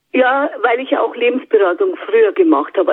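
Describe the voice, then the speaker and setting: A woman speaks in a high pitch with very wide pitch swings. Her pace is fairly quick. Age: 70s. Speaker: psychic medium. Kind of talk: interview. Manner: hesitant with fillers.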